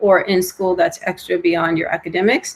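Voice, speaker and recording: A woman is talking. Her voice sits at a medium pitch. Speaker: college counselor. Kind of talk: online presentation to students. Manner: fast.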